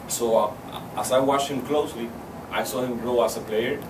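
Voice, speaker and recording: A man speaks at a medium pitch with a Spanish accent. Noticeable background noise and audible room echo fill the recording. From Cuba. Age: 20s. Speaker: university student. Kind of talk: public speech. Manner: halting, with fillers and repetitions.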